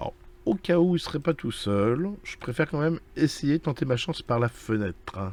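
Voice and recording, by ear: A man speaks in a medium pitch with lively intonation. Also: moderate pace, slightly mellow tone.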